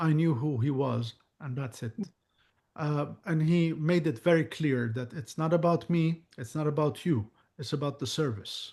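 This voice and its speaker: Speaking at a moderate pace, a man with an Arabic accent has a fairly high pitch, a somewhat breathy quality and ordinary pitch variation, with a quiet background. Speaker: psychic medium. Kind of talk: Q&A chat.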